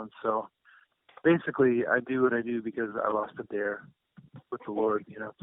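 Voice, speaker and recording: His speech is monotone and flat, at a moderate pace. The man's pitch sits in the medium range. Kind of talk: interview testimony. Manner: stutter; halting, many fillers.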